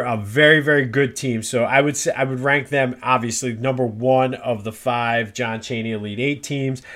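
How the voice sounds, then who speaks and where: A man with an American accent talks at a moderate pace and a medium pitch in a plain, everyday voice. His intonation is fairly even. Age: 40s. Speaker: sports podcaster. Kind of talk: casual solo podcast monologue.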